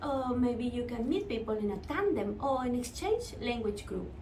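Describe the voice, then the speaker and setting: A woman at a high pitch with very wide pitch swings and a fairly slow pace, plus audible room echo and noticeable background noise. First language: Spanish. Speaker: Spanish teacher. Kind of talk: tutorial.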